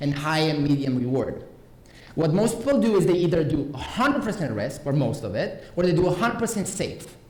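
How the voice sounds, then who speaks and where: An animated speaker with a Romanian accent talks at a fairly quick pace with lively intonation. Noticeable background noise and audible room echo fill the recording. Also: man. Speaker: conference speaker. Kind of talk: conference talk. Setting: stage with audience.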